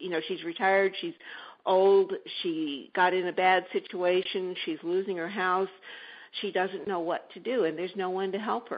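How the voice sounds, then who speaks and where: A woman with an ordinary speaking voice talks at a moderate pace, her medium pitch held in fairly even intonation. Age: 60s. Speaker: entrepreneur, shared-housing service founder. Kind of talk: interview. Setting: radio show.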